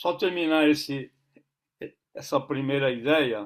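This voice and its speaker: This man speaks very slowly on a very clean recording with a silent background. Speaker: basketball coach and consultant. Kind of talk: interview. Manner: halting, many repetitions.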